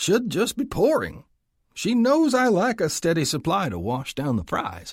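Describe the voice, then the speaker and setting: A man's gruff, put-on character voice, high-pitched with very wide pitch swings, at a moderate pace in a very clean recording with a silent background. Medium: read story. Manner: gruff, grumbling.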